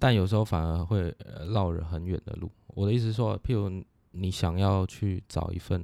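A man talks at a moderate pace with fairly even intonation, his pitch very deep and low and his tone dark and mellow. The sound is dry and close with no echo, on a very clean recording with a silent background. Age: 20s. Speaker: business consultant. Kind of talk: casual interview.

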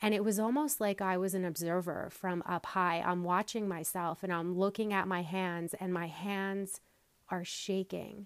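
An American-accented woman talks in an ordinary speaking voice at a fairly low pitch, with fairly even intonation and a moderate pace. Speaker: podcast host and wellness coach. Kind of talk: solo podcast talk, conversational and reflective. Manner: warm, calm, wellness-style delivery.

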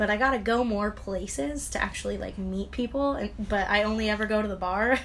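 A woman talks at a fairly quick pace with hardly any pauses. Noticeable background noise runs underneath. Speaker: co-host friend. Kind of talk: casual chat.

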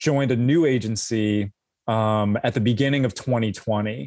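A man with an American accent has a plain, everyday voice at a medium pitch. He speaks at a moderate pace with ordinary pitch variation on a very clean recording with a silent background. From US West Coast, Los Angeles. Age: 40s. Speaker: former intelligence analyst, writer. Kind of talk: interview.

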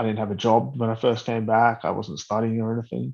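A man at a medium pitch with an Australian accent, against a quiet background. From Australia, Blue Mountains. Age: 30s. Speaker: Paralympic wheelchair rugby player. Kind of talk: casual interview.

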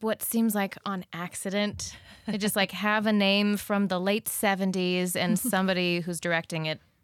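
A woman talks at medium pitch and a moderate pace in a plain, everyday voice. The recording is very clean, with a silent background. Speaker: musical theater actress. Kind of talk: casual chat.

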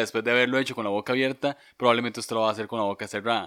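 Very fast and with a Costa Rican accent, a voice with a bright, sharp tone and fairly even intonation comes through on a very clean recording with a silent background. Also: man. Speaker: podcast co-host. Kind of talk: casual chat.

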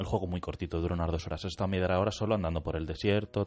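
Very fast and very deep, a man talks at a low pitch with fairly even intonation. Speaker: radio co-host. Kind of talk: casual chat. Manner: late-night radio style.

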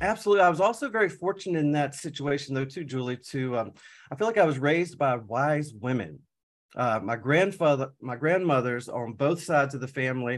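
An ordinary speaking voice from a man, fairly high in pitch and fairly quick, with lively intonation over a quiet background. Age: 40s. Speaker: certified high performance coach. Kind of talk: casual interview.

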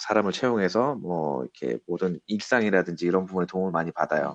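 A man with a very deep, low pitch talks at a fairly quick pace. The sound is dry and close, with no echo. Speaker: business consultant working in Russia. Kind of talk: interview.

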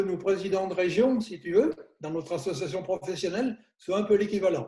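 A man speaks with a dark, mellow tone. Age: 70s. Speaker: chiropractor. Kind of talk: interview. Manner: hesitant, many fillers.

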